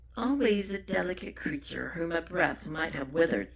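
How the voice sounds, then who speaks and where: A put-on character voice at middle pitch and a moderate pace. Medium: read story.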